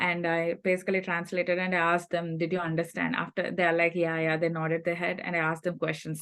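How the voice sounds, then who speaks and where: A woman's fairly low-pitched voice with a Telugu accent, very fast and almost pause-free, with monotone, flat intonation and very even loudness. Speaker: scholarship recipient sharing advice. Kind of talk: workshop talk.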